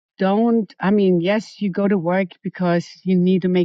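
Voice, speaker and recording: Speaking at a moderate pace, a woman has a German accent. Her pitch is fairly low. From Germany. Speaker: hairstylist and salon manager. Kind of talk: interview.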